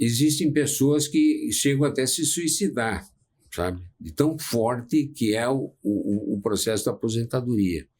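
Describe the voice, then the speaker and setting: A man's medium-pitched, somewhat breathy voice at a fairly slow pace with lively intonation. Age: 70s. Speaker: psychologist. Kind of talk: casual chat.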